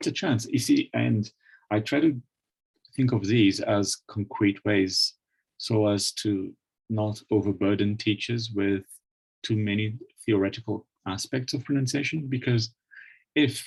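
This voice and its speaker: The voice is somewhat breathy, with ordinary pitch variation and a fairly slow pace broken by long, frequent pauses. The sound is dry and close, with no echo. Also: man, fairly low pitch for a man. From Brazil, Minas Gerais. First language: Portuguese. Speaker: English language teaching academic, webinar speaker. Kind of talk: webinar lecture. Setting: online webinar.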